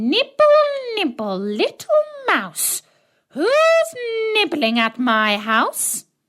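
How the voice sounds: In a put-on character voice, a woman speaks very slowly at a high pitch, sounding squeaky and shrill, with long, frequent pauses.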